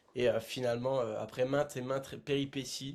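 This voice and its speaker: A man is speaking. His pitch is fairly high. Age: 20s. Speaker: adventurer. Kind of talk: podcast interview. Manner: hesitant, many filler sounds.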